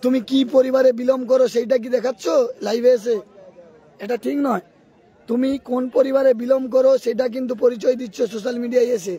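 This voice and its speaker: A man's extremely high-pitched voice with fairly even intonation, crowd noise in the background. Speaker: live-stream football commentator and channel owner. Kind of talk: live commentary with viewer reprimand.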